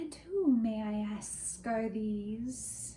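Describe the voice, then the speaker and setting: A soft-spoken, female-sounding put-on character voice comes through over clear background noise. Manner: terrifying, inquiring.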